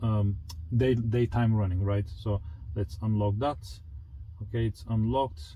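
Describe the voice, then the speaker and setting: A man's fairly low, dark, mellow, somewhat breathy voice with a non-native accent, at a moderate pace with long, frequent pauses, ordinary pitch variation and very even loudness. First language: not English. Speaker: car enthusiast youtuber. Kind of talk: product review walkthrough. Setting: home garage. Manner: casual, halting with fillers.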